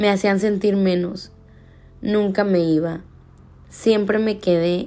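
With ordinary pitch variation, a woman talks at a fairly slow speed. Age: 20s. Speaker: podcast host, law student. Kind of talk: personal reflection monologue.

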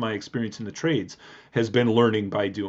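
A man talks at a fairly quick pace with an Upper Midwest accent. His pitch sits in the medium range. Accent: Upper Midwest American. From southeast Wisconsin, Milwaukee suburbs. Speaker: high school history teacher. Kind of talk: interview. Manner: hesitant with many fillers.

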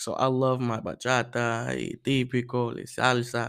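This is a man speaking at a medium pitch. The recording is very clean, with a silent background. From Puerto Rican heritage, US. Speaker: student podcast host, cadet. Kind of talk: casual chat. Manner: animated.

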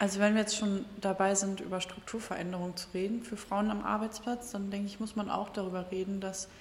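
A woman talks at a fairly quick pace in a medium pitch with monotone, flat intonation, over noticeable background noise. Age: 20s. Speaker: podcast host, party volunteer. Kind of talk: interview.

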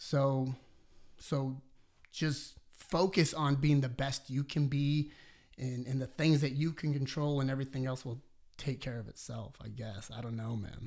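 On a very clean recording with a silent background, a man with a plain, everyday voice speaks at a medium pitch, fairly slowly, with fairly even intonation. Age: 30s. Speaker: personal trainer and business owner. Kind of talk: casual interview conversation.

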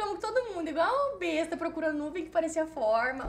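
Noticeable background noise sits behind the speaker. She is a woman whose pitch swings very widely. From Cuiabá, Mato Grosso, Brazil. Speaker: travel agency owner and blogger. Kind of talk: casual chat.

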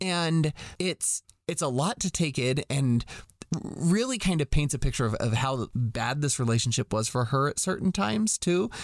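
With a normal speaking voice, a man talks at a moderate pace and fairly high pitch, his intonation lively and loudness very even, in a dry, close sound with no echo against a quiet background. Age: 30s. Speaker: podcast host. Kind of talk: casual chat.

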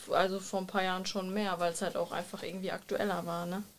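With an ordinary speaking voice, a woman moves along at a fairly quick pace. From Germany, Bielefeld. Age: 20s. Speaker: media design student. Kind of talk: casual chat.

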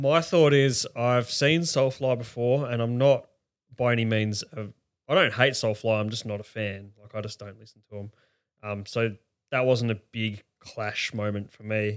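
A man with an Australian accent speaks at a moderate pace in a medium pitch, his loudness swinging widely and his pitch varying in an ordinary way, on a very clean recording with a silent background. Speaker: festival-goer, podcast guest. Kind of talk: casual chat. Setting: spare bedroom, shared mic.

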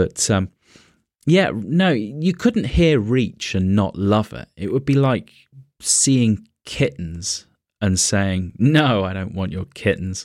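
Speaking at a very slow pace with a British accent, a man with a fairly low pitch uses lively intonation in a very clean recording with a silent background. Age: 40s. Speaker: podcaster. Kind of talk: casual chat.

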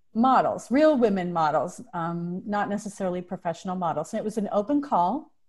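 On a very clean recording with a silent background, a woman speaks at a moderate pace in a somewhat breathy voice with lively intonation. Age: 50s. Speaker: entrepreneur and mentor. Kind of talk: casual chat.

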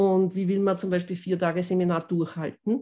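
At a moderate pace, a woman talks in a normal speaking voice of medium pitch. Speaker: voice coach and pianist. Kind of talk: interview.

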